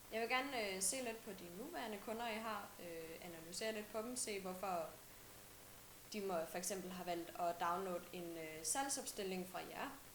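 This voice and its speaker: With audible room echo and noticeable background noise, a woman speaks at a fairly slow pace in a medium pitch with ordinary pitch variation. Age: 20s. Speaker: student intern. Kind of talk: self-introduction video message. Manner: halting, many filler sounds.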